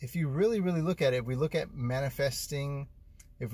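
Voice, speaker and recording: A man's somewhat breathy voice with ordinary pitch variation and a dry sound with no echo. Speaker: vlogger living in his car. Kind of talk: casual vlog chat. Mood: reflective, earnest. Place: car. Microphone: phone near.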